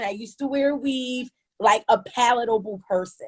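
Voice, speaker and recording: With an American accent, a woman speaks at a fairly high pitch with ordinary pitch variation, in a dry, close sound with no echo. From Canada. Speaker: yoga teacher. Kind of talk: panel discussion. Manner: halting, many repetitions.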